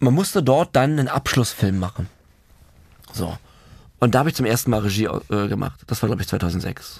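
Lively intonation and long, frequent pauses mark speech at a moderate pace on a very clean recording with a silent background. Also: man, medium pitch for a man. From Germany, Berlin. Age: 30s. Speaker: film director in addiction recovery. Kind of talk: casual chat, personal life story.

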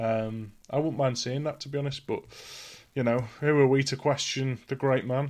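This man has an unremarkable speaking voice at a medium pitch, with fairly even intonation and a moderate pace. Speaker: podcast co-host. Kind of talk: casual chat.

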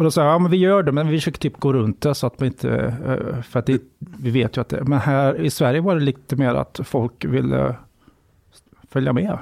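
At a fairly quick pace, a man with a medium-pitched voice talks with very even loudness and ordinary pitch variation, the sound dry and close with no echo. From western Sweden, Borås area. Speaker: journalist and author. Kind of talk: interview conversation.

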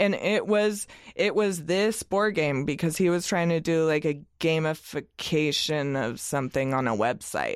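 A woman with an American accent speaks fairly slowly in a fairly low voice with lively intonation. Hers is an ordinary speaking voice, with very even loudness. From US Northwest, Oregon (Eugene). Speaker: freelance graphic designer. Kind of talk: casual chat.

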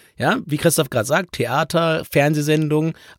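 A man at a moderate pace, with vocal fry. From southern Lower Saxony. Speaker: travel podcast host. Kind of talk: casual chat.

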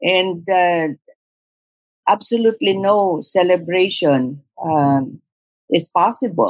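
A woman with a Filipino accent at a medium pitch, very slow pace and lively intonation, with long, frequent pauses. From southern Philippines. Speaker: podcast host. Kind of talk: casual conversation. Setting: remote call.

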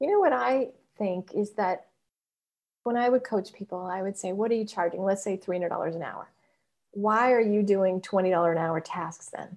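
The pitch shows ordinary variation. The pace is moderate. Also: woman, medium pitch for a woman. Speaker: podcast host. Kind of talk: casual interview chat. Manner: animated, enthusiastic.

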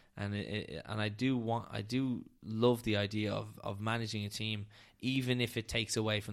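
A moderate pace and monotone, flat intonation in a Dublin accent, on a very clean recording with a silent background. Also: man. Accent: Dublin Irish. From Dublin, Ireland. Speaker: data scientist. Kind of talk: casual interview chat. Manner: halting, many repetitions and fillers.

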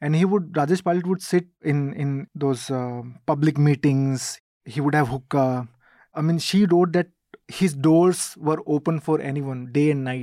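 A man with an Indian accent, fairly high pitch and a dark, mellow tone, at a moderate pace with ordinary pitch variation, on a very clean recording with a silent background. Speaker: reporter. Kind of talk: casual interview.

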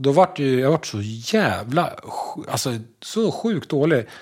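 Speaking very slowly with long, frequent pauses, a man uses a fairly high pitch. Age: 50s. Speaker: construction tradesman and podcast co-host. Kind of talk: casual chat.

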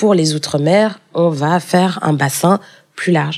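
A woman talks at a fairly slow pace in an ordinary speaking voice. Her pitch is fairly low, with ordinary pitch variation. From France, Paris. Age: 20s. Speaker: EU civil servant. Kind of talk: interview.

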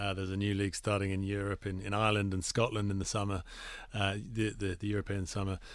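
A man with an English accent talks very fast. His pitch is fairly low and his intonation is flat and monotone. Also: quiet background. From England. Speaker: cricket league executive. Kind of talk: radio interview. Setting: radio studio.

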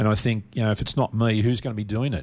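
Someone with an Australian accent talks at a very fast pace in a very clean recording with a silent background. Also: man. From Melbourne, Australia. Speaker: charity founder, bereaved father. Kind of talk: radio interview.

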